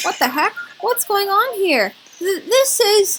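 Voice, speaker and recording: A woman's put-on character voice, squeaky and extremely high-pitched, with lively intonation at a fairly slow pace. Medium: game stream.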